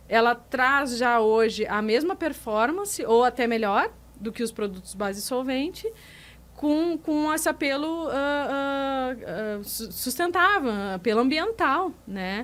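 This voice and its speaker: A woman with a strong southern Brazilian accent speaks very slowly in a high pitch with lively intonation. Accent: gaúcho accent, strong. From Rio Grande do Sul, Brazil. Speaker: business manager at a resin supplier. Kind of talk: podcast interview. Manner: hesitant, many repetitions.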